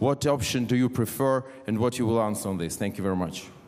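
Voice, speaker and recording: A man speaks at a medium pitch with a Ukrainian accent. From Ukraine. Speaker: politician. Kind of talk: audience question at panel. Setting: conference hall with audience.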